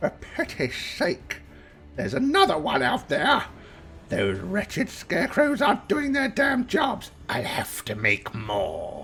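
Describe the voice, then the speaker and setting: Clear music plays in the background as someone performs a put-on character voice at a fairly slow pace. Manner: grumbling, irritated.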